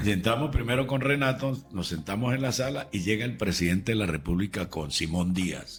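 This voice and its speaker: With hardly any pauses, a man talks at a fairly quick pace in a fairly low, somewhat breathy voice with lively intonation. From Venezuela. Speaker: radio and TV announcer. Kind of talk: interview answer.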